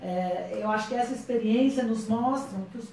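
In a room with audible echo, a woman talks at a moderate pace with ordinary pitch variation. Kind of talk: panel debate answer. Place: meeting room. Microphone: camera far.

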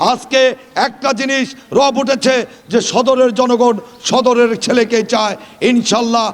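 There is noticeable background noise as a man speaks. His extremely high pitch comes in a monotone, flat intonation. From Bangladesh, Tangail char area. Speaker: politician. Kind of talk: campaign speech. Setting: outdoor rally at school field.

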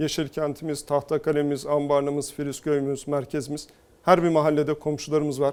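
This man's voice is fairly high in pitch, and he talks at a moderate pace. His intonation stays flat and monotone. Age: 40s. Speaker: politician, mayoral candidate. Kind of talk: TV interview.

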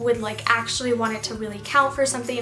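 Clear music is heard in the background. A woman talks over it. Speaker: beauty vlogger. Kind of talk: casual makeup tutorial talk to camera. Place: home room. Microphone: phone near.

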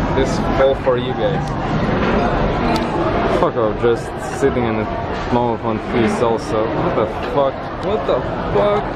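A man talks fairly slowly while loud noise fills the background. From Latvia. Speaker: guest vlogger. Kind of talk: casual vlog talk to camera. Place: cafe. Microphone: phone near.

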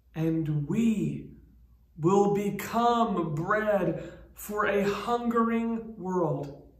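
A man's high-pitched, soothing, warm voice at a very slow pace, with ordinary pitch variation and audible room echo. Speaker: pastor. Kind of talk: pastoral prayer read aloud, a spoken blessing with solemn, measured cadence. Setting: recorded church video message, online worship. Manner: slow, reverent, soothing and unhurried, with warm, gentle pauses; informal, welcoming tone in the announcements with hesitant 'um' fillers. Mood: warm, reverent. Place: church.

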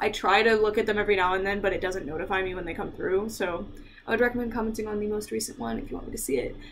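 Light background noise sits under a woman who speaks at a very fast pace. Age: 20s. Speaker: YouTuber, doll collector; YouTuber. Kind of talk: unboxing review. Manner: casual, laughing often. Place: home room. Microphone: webcam.

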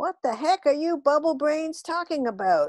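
A put-on character voice comes through high, shrill and squeaky. It moves at a moderate pace. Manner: indignant, scolding.

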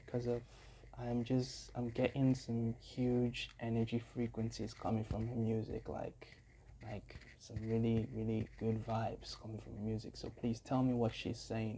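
Light background noise sits behind a man with a dark, mellow tone. He speaks at a moderate pace. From Africa. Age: young. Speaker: YouTube music reactor and musician; YouTube music reactor. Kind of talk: reaction video commentary. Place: home room. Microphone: earbuds.

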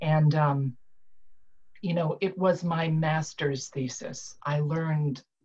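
Fairly even intonation marks this somewhat breathy voice. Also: woman. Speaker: retired IT director turned author. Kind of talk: panel discussion. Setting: video call. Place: home room. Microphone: webcam.

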